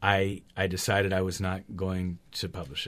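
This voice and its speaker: A man with an American accent speaks with a very deep, low pitch. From US West Coast, Berkeley California. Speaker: clown and author. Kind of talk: interview. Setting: radio studio.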